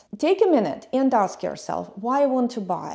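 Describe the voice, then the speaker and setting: A woman with a non-native accent speaks at a moderate pace in a high pitch with a dark, mellow tone. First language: not English. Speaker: YouTube travel and lifestyle vlogger. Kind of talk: personal vlog monologue.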